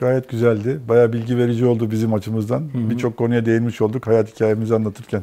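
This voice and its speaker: At a very fast pace, a man with a medium pitch and a dark, mellow tone speaks in a monotone, flat intonation. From Turkey, raised in many places incl. Erzurum; Turkey. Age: 50s. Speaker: mechanical engineer; guest. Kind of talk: interview. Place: studio. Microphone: lapel.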